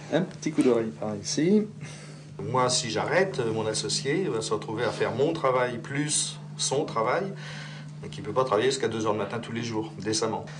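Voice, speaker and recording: With lively intonation and long, frequent pauses, a man at a medium pitch speaks amid noticeable background noise and audible room echo. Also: moderate pace. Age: 60s. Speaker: rural general practitioner. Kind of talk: talking with a patient; documentary interview.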